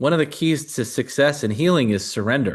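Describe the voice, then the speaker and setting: A man with an American accent, lively intonation and a moderate pace, over a quiet background. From US Midwest (Glendale Heights, Illinois). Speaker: energy healing coach. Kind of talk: live online workshop demonstration.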